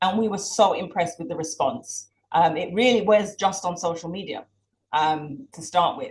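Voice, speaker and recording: Speaking in a British accent, a woman uses a fairly low pitch and lively intonation at a moderate pace, her voice somewhat breathy. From Jamaica, educated in Britain. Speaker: campaign organizer. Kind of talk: launch event speech.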